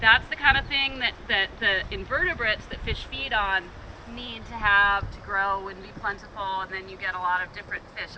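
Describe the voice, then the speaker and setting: A woman at a fairly quick pace with ordinary pitch variation, over noticeable background noise. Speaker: river tour guide. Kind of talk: guided tour talk outdoors. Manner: loud.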